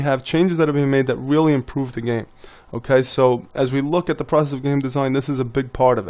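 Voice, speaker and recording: Here a man talks at a very fast pace. His pitch is medium and his intonation fairly even. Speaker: board game designer and video tutor. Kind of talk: tutorial. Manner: casual with many fillers.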